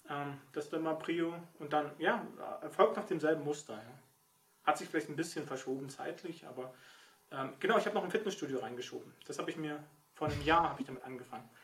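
Here a man speaks at a very fast pace, broken by long, frequent pauses. His fairly high pitch shows ordinary variation. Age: 40s. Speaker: novelist. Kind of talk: casual chat.

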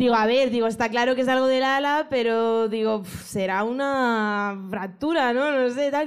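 In a room with audible echo, a woman with a high pitch and ordinary pitch variation talks at a fairly slow pace, keeping her loudness very even and hardly pausing. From Madrid, Spain. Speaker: audience member, veterinarian. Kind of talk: casual chat.

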